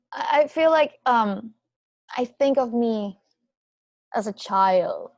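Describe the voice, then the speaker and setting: Speaking very slowly with a Venezuelan accent, a woman uses lively intonation at a fairly high pitch. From Venezuela, Andes region. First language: Spanish. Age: 20s. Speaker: podcast guest. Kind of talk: casual chat. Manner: halting.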